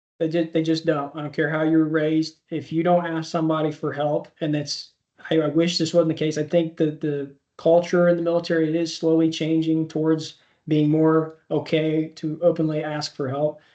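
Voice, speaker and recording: A man's fairly high voice with an American accent, flat and monotone, at a moderate pace. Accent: slight rural twang. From Indiana, US Midwest (Speedway). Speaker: army veteran. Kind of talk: interview.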